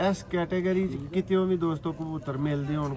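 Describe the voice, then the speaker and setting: A man speaks over noticeable background noise. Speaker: vlogger. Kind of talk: interviewer and talk to viewers.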